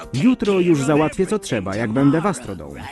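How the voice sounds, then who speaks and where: Music in the background behind a man at a moderate pace, his pitch swinging very widely. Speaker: fan voice-over performer (lektor). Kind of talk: Polish voice-over reading of a translated cartoon (szeptanka).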